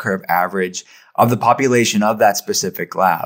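This man has an unremarkable speaking voice with an American accent, pitched at a medium level. He talks at a moderate pace with ordinary pitch variation. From Western Pennsylvania, Pittsburgh. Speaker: functional medicine practitioner. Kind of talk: interview.

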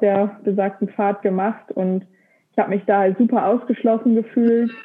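A woman's medium-pitched, monotone voice with flat intonation at a moderate pace. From Lower Saxony, Germany. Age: 20s. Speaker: engineering graduate, epilepsy social media creator. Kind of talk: casual interview conversation.

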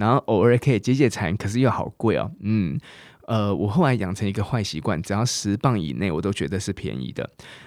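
In a very clean recording with a silent background, a man speaks at a fairly quick pace with lively intonation. His fairly low voice carries vocal fry. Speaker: English teacher and podcast host. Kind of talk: language lesson podcast. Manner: animated.

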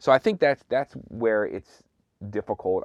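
Recorded with a dry, close sound, no echo and a quiet background, a man speaks with an American accent. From Philadelphia, US. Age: 30s. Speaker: DJ. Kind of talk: casual interview chat. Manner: halting, repeats words.

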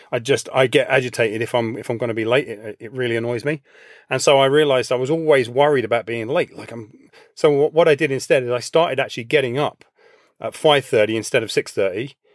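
Very fast speech from a man with an English accent, medium pitch, fairly even intonation, big swings in loudness, and a dry, close sound with no echo. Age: 50s. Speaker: personal trainer and coach. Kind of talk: interview conversation.

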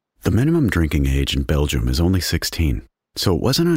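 Lively intonation and vocal fry mark this fairly quick delivery with an American accent. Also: man. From Texas. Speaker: true crime podcast host. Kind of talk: scripted narration.

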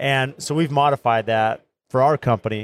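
Recorded very clean with a silent background and a dry, close sound with no echo, a man uses an ordinary speaking voice at medium pitch with ordinary pitch variation. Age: 40s. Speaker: construction podcast host and builder. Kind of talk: casual interview chat. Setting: live recording at trade show booth.

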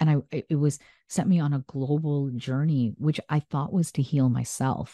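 A woman with a very deep, low pitch and a dark, mellow tone speaks at a moderate pace with fairly even intonation, the sound dry and close with no echo. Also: quiet background. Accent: American. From US Midwest, small-town Illinois. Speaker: medical doctor and author. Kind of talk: interview.

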